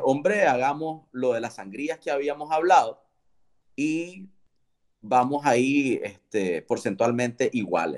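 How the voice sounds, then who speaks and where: Over a quiet background, a man with a medium-pitched voice talks at a fairly slow pace. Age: 30s. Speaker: entrepreneur. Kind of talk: interview. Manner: halting, frequent repetitions.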